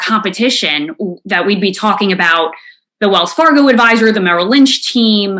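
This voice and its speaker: With a New York accent, a woman speaks at a moderate pace and medium pitch in a bright, sharp tone with lively intonation. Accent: New York City. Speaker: financial industry consultant. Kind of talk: presentation to financial advisors. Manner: frequent repetitions and self-corrections.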